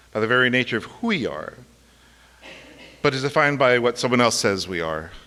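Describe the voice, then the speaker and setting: Speaking at a fairly quick pace with an American accent, a man of medium pitch swings very widely in pitch, with a bright, sharp tone and vocal fry. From Los Angeles, California. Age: 40s. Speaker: university lecturer. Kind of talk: personal talk before a live audience. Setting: stage with audience. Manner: casual and animated.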